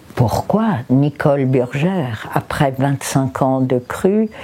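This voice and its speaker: Against noticeable background noise, a woman speaks at a very slow pace with lively intonation. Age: 70s. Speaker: raw food practitioner. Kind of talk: testimony. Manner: halting.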